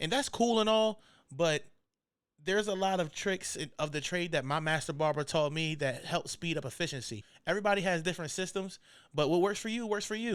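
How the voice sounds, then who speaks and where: A speaker with an American accent talks at a fairly quick pace with lively intonation, on a very clean recording with a silent background. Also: man, high pitch for a man. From Maryland Eastern Shore (Salisbury). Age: 20s. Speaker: barber and podcast host. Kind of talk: casual podcast monologue. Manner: laid-back, conversational.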